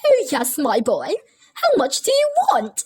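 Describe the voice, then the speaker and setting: A woman puts on a squeaky character voice at an extremely high pitch, cheerful in tone. She speaks fairly slowly with very wide swings in pitch. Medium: read story. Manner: cheerful, laughing.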